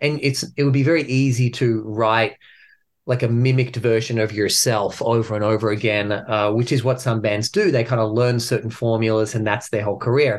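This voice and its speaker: This man talks at a fairly quick pace with an Australian accent. His loudness stays very even, and his intonation is fairly even too. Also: medium pitch for a man. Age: 40s. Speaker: metal band frontman. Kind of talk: interview.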